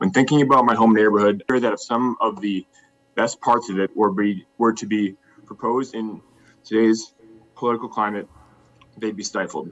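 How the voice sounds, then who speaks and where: With music in the background, a man with an American accent talks at medium pitch and a moderate pace. His intonation is fairly even, and he leaves long, frequent pauses. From Cambridge, Massachusetts, US. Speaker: public commenter at zoning hearing. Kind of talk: public comment. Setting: remote video meeting.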